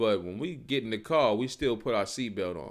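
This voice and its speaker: On a very clean recording with a silent background, a man talks at medium pitch. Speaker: street preacher / bible teacher. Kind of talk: live-streamed bible teaching. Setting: live stream. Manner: fast; casual, conversational.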